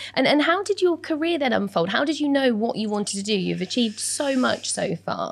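Over noticeable background noise, a woman talks at a fairly quick pace with hardly any pauses, her high pitch swinging very widely. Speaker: podcast host and interviewer. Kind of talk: interview, podcast intro.

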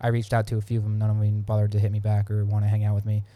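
A man with an American accent speaks at a very fast pace in a fairly low, somewhat breathy voice with a dark, mellow tone. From Pennsylvania. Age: 20s. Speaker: podcast co-host, Marine Corps reservist. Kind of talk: casual chat.

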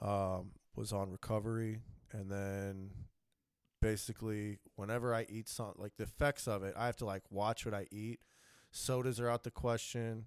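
A man with an unremarkable speaking voice, fairly low in pitch, at a moderate pace with fairly even intonation, on a very clean, dry, close recording with no echo and a silent background. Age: 30s. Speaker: pro wrestler and MMA fighter. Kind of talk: casual chat.

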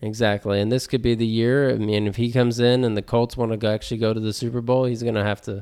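A man talking at a very fast pace, on a very clean recording with a silent background. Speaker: podcast co-host. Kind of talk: casual chat. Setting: garage recording. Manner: animated, joking.

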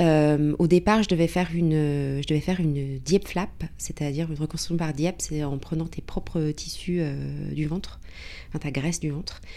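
A moderate pace and fairly even intonation. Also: woman, very deep, low pitch for a woman. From Paris, France. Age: 40s. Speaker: cancer patient. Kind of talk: testimony. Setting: in person in Paris.

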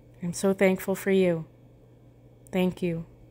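A woman speaks in a gentle, calm tone at a medium pitch. Her intonation is monotone and flat. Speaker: meditation guide. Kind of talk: guided meditation with affirmations. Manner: calm, slow, soothing; gentle, paced with pauses.

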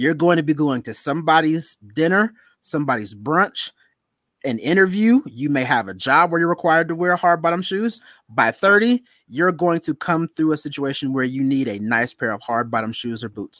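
This man has an unremarkable speaking voice, fairly high in pitch with lively intonation, and he talks at a moderate pace on a very clean recording with a silent background and a dry, close sound with no echo. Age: 30s. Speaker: podcast host. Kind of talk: casual chat.

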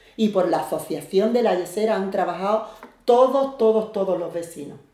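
Speech comes at a fairly slow pace. Noticeable background noise and audible room echo fill the recording. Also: woman. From Algeciras, Andalusia, Spain. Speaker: neighborhood association president. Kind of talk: interview.

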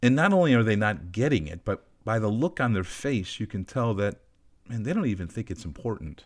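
Over a very clean recording with a silent background, a man talks at a fairly quick pace. He has an unremarkable speaking voice, fairly low in pitch, with lively intonation. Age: 50s. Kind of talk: teaching monologue on faith.

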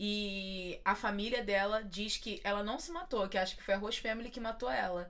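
A woman talks at a moderate pace with medium pitch, ordinary pitch variation and hardly any pauses. Audible room echo and noticeable background noise surround her. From Belford Roxo, Rio de Janeiro, Brazil. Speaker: podcast host. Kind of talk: casual interview chat.

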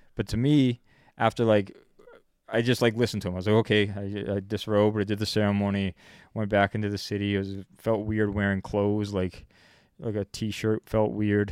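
On a very clean recording with a silent background, a man with a Canadian accent talks at a fairly quick pace in a fairly low, monotone, flat voice. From Canada. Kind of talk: casual chat.

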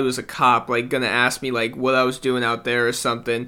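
Bright and sharp in tone, a man with an American accent speaks at a medium pitch. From US South and Indiana. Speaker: podcast co-host. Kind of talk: casual chat.

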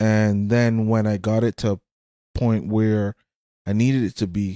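Dry and close with no echo, a man's voice carries a dark, mellow tone. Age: 40s. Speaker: clothing business owner and construction worker. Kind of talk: casual chat.

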